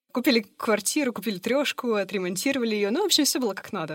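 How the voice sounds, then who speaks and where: A woman's unremarkable speaking voice, fairly high in pitch, with lively intonation and a dry, close sound with no echo. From Russia, Yekaterinburg. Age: 30s. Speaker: life coach, former HR professional. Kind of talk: interview conversation.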